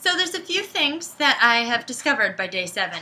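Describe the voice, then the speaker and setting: At a high pitch, a woman uses a raised, projected voice with a bright, sharp tone. Her intonation is lively, and her pace is fairly slow. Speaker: vlogger. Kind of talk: casual vlog tutorial.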